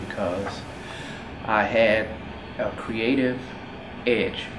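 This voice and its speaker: A man's medium-pitched voice in a Louisiana accent, flat and monotone, with audible room echo and noticeable background noise. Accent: Louisiana Southern US. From Baton Rouge, Louisiana. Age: 50s. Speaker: architect. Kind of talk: interview testimony. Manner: hesitant with fillers.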